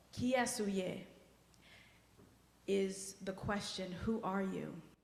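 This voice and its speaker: A somewhat breathy voice in a Haitian accent, very slow and monotone with flat intonation, amid audible room echo. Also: woman, medium pitch for a woman. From US-born child of Haitian immigrants. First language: Haitian Creole. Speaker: guest worship leader. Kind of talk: personal talk in a worship service. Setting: church service. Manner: conversational, emotional.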